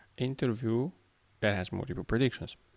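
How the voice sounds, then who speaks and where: Very clean recording of a man's speech, silent background throughout. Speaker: programmer making coding tutorials. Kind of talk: tutorial. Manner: slow; halting.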